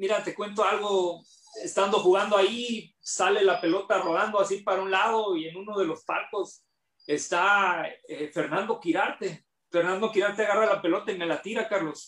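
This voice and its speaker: A man speaks at a moderate pace in a high pitch. His intonation stays fairly even. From Mexico, Tijuana (Baja California). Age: 40s. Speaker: former professional basketball player. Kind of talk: interview.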